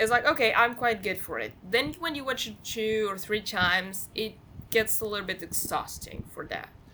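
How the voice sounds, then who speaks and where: Speaking with a non-native accent, a woman uses a fairly high voice with ordinary pitch variation and big swings in loudness. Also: moderate pace. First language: not English. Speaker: film podcast guest. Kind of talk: casual chat. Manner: halting, repeats words.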